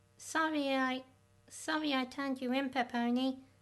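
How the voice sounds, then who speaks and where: This is a put-on character voice. It sounds female. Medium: machinima. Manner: earnest, sincere.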